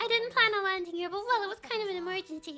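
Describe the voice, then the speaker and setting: Squeaky and raised, a woman's put-on character voice runs at a very fast pace with extremely high pitch. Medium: virtual streamer. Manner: apologetic, flustered.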